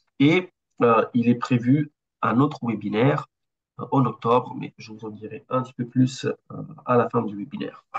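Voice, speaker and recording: A man's somewhat breathy voice at a medium pitch and moderate pace, ordinary pitch variation, big swings in loudness, dry and close with no echo. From Italy. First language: Italian (speaking French). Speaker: architect and BIM consultant. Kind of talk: webinar presentation. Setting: online webinar. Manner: hesitant, many fillers.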